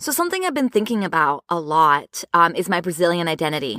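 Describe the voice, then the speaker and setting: Recorded with a dry, close sound and no echo, a woman talks at a fairly quick pace in a bright, sharp tone with a fairly low pitch. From Brazil, moved to US as a child. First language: Portuguese. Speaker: podcast host and therapist. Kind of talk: podcast monologue. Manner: conversational with fillers.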